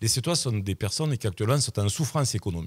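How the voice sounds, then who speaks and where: A man speaks with lively intonation and a somewhat breathy voice. The recording is very clean, with a silent background. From southern France, Sète. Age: 60s. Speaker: local election candidate, general practitioner. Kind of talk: radio interview. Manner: hesitant, repeating words.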